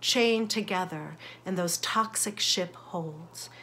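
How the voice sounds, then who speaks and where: Her tone is bright and sharp, with ordinary pitch variation. The woman talks at a fairly slow pace. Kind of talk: sermon reflection. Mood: earnest, reflective, warm. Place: home room. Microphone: phone near.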